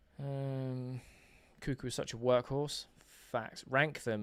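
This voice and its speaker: A man speaks with a slight Essex accent. His pitch sits in the medium range. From England, Essex. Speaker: football fan streamer. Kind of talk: live football watch-along commentary reading chat. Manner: casual, animated.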